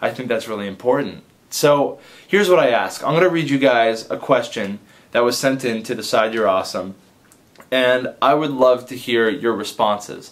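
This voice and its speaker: A man with a normal speaking voice and ordinary pitch variation. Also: medium pitch for a man, moderate pace. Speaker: advice vlogger and comedy video maker. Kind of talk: casual direct-to-camera vlog.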